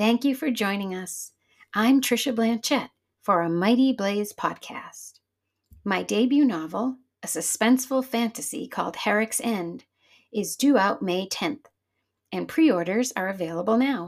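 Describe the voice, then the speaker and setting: An unremarkable speaking voice from a woman, fairly high in pitch, with lively intonation and a moderate pace. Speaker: podcast host. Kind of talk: podcast intro and outro, scripted.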